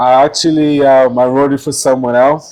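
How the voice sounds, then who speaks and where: Noticeable background noise sits under the speech. A man talks at medium pitch and a moderate pace. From South Sudan. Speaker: musician. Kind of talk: interview.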